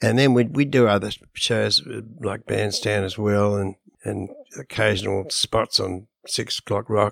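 In an Australian accent, a man talks at a fairly slow pace with a fairly low pitch and ordinary pitch variation. The sound is dry and close, with no echo. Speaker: musician. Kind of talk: casual chat.

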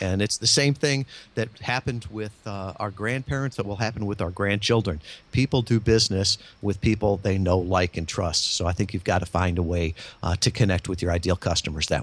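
A man's normal speaking voice with an American accent, fairly low in pitch, ordinary pitch variation and a fairly quick pace. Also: very clean recording, silent background. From Michigan. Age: 50s. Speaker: marketing consultant and podcast guest. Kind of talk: interview.

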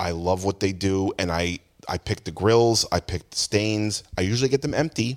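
On a very clean recording with a silent background, a man with a normal speaking voice and an American accent speaks at a moderate pace, with fairly low pitch and fairly even intonation. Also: dry, close sound with no echo. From New Jersey, Jackson (Ocean County). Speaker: music store owner. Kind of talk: casual chat. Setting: inside a music store.

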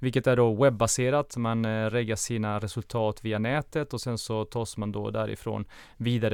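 A man speaks at medium pitch with fairly even intonation, in a normal speaking voice. The recording is very clean, the background silent. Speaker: podcast co-host. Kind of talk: interview. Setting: studio.

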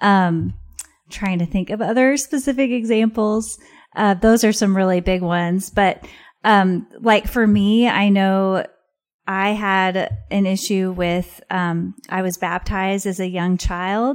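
In an American accent, a woman speaks at a very slow pace with a medium pitch and fairly even intonation. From Missouri, US Midwest. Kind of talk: casual interview conversation.

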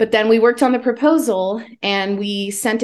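A woman with an ordinary speaking voice talks at a moderate pace with ordinary pitch variation over a quiet background. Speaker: author. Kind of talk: casual chat.

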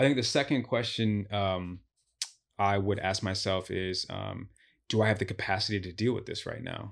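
A man with an American accent has an unremarkable speaking voice, fairly low in pitch, with fairly even intonation at a moderate pace. The recording is very clean with a silent background. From Chicago. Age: 30s. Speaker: relationship speaker. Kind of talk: casual interview chat. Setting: studio.

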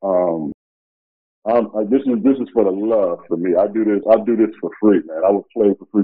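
A man with an American accent and an ordinary speaking voice talks at a fairly low pitch and moderate pace with fairly even intonation. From US Midwest (Chicago). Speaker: former pro basketball player. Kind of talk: interview.

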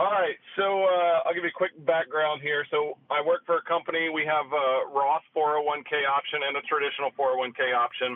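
A man's normal speaking voice, fairly high in pitch, at a fairly quick pace with hardly any pauses and fairly even intonation. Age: 40s. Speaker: caller. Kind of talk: call-in question. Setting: phone call.

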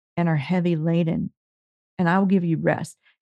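An ordinary speaking voice, with fairly even intonation. The sound is dry and close, with no echo. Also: woman. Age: 50s. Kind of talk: casual interview conversation.

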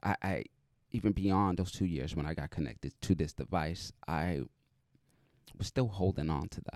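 A man with an American accent speaks at a moderate pace in a very deep, low pitch with vocal fry and ordinary pitch variation, leaving long, frequent pauses, on a very clean recording with a silent background and a dry, close sound with no echo. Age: 30s. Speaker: podcast host, deaf motivational speaker. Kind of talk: interview.

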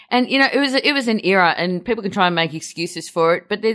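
In a very clean recording with a silent background, a woman with an Australian accent talks at a very fast pace. Her tone is animated, with very wide pitch swings. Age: 40s. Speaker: film podcaster. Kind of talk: casual chat.

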